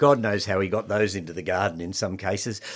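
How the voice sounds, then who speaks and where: Very fast speech from a man with an Australian accent, with ordinary pitch variation, on a very clean recording with a silent background. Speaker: horticulturalist and nursery owner. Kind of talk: radio gardening talk show. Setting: studio.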